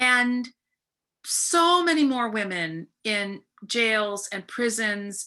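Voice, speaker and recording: A woman's medium-pitched voice, bright and sharp in tone, with lively intonation over a quiet background. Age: 60s. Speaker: professor and anti-violence scholar. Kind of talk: webinar conversation. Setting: video webinar.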